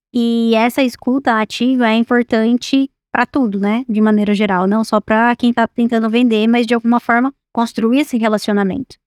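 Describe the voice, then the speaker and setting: A woman's monotone, flat voice with hardly any pauses, dry and close with no echo. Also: fairly high pitch for a woman, moderate pace, very even loudness. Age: 20s. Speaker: executive director of agricultural consulting firm. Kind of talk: podcast interview.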